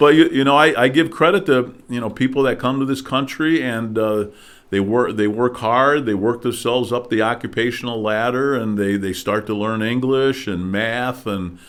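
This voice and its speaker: With a Midwestern US accent, a man speaks at a moderate pace in a medium-pitched voice with ordinary pitch variation. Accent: US Midwest. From Detroit suburbs, Michigan. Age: 60s. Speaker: political candidate. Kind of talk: interview. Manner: hesitant with many fillers.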